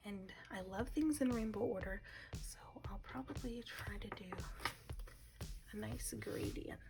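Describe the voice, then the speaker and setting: A woman talks at a fairly slow pace, leaving long, frequent pauses while music plays in the background. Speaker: ASMR creator. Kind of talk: ASMR coloring commentary. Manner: soft-spoken.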